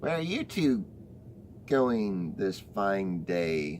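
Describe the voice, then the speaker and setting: Against clear background noise, a man uses a put-on character voice, fairly low in pitch and at a very slow pace. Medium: read story.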